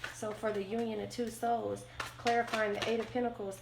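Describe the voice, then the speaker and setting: Recorded with audible room echo and noticeable background noise, a woman speaks. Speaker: tarot reader. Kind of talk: tarot reading. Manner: halting, many fillers.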